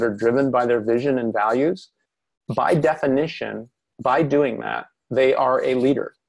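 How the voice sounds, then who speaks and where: His pace is moderate, and his pitch varies in an ordinary way. This man has a plain, everyday voice at a medium pitch. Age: 50s. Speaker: personal development coach. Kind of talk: webinar interview. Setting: online webinar. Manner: reflective, casual with fillers.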